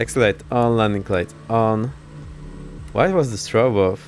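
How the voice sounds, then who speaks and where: Noticeable background noise is present. The delivery is fairly slow. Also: man. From Poland. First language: Polish. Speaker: flight sim streamer. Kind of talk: live gameplay commentary. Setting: live stream.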